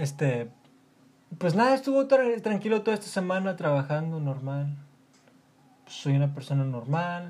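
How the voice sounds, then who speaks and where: A high-pitched man's voice in a Mexican accent, with very wide pitch swings and long, frequent pauses. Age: 20s. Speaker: podcaster, student. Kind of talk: casual monologue. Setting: at home. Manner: fast.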